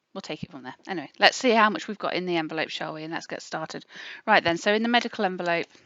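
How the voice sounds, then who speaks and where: In an English accent, a woman talks very fast with ordinary pitch variation and big swings in loudness. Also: medium pitch for a woman. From England. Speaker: budgeting youtuber. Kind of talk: casual budgeting tutorial. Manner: chatty, with many fillers.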